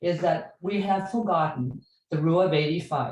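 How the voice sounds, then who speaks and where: Her voice is fairly low-pitched and somewhat breathy, and the woman's intonation is lively. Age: 80s+. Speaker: club member speaking at a meeting. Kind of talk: open-floor comment at a training session.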